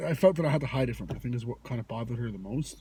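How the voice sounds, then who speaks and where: With a Canadian accent, a man speaks in a dark, mellow tone. His voice is somewhat breathy, with lively intonation. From Toronto, Canada. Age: 20s. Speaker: cannabis vlogger. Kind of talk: casual storytime monologue. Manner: halting, many fillers.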